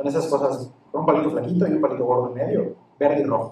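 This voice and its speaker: A man talks at a fairly quick pace. Noticeable background noise comes through. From Campeche, Mexico. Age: 20s. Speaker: lawyer and crypto enthusiast. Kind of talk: interview.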